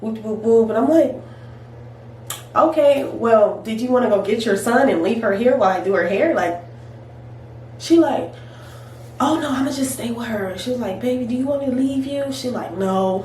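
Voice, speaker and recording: Noticeable background noise sits behind a woman with an American accent talking at a moderate pace in a fairly high pitch. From California. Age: 20s. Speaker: hairstylist. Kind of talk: casual storytime talk to camera.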